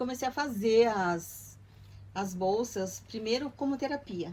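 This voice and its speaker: At a fairly slow pace, a woman with a fairly high, somewhat breathy voice speaks with ordinary pitch variation. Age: 60s. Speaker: retired artisan. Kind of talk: documentary interview.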